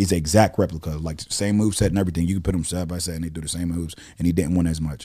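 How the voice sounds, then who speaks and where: Very deep and low in pitch, a man speaks at a very fast pace with fairly even intonation. His tone is dark and mellow. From Pittsburgh, Pennsylvania. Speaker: rapper. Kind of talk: casual chat.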